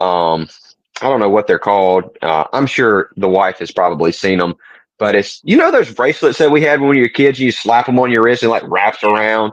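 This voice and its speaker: Against a quiet background, the speech runs at a fairly quick pace with lively intonation. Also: man, medium pitch for a man. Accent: Southern US. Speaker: podcast co-host. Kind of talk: casual chat. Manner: gentle, soft-spoken.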